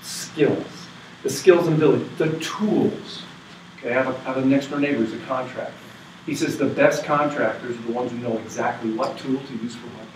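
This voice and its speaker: A man with an American accent speaks at a fairly quick pace, medium in pitch with ordinary pitch variation and big swings in loudness. Audible room echo and light background noise surround him. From New England, US. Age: 50s. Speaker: university professor. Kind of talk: lecture. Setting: workshop room with live audience. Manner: animated. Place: meeting room. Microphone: camera far.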